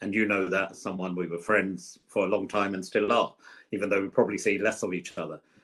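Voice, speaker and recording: Against a quiet background, a man with a London accent speaks at a fairly low pitch. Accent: southern English, London. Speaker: politician, former government minister. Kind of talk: podcast interview.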